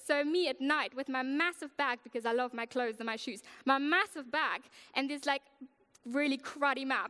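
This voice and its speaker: A woman with a German accent speaks in a raised, projected voice at a high pitch and a moderate pace. Her tone is bright and sharp, and the sound is dry and close with no echo. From Germany. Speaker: worship leader. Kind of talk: sermon.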